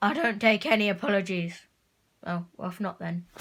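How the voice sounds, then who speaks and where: A cartoonish character voice sounds female and sits at a medium pitch. It moves at a moderate pace. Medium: puppet. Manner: nervous, hesitant.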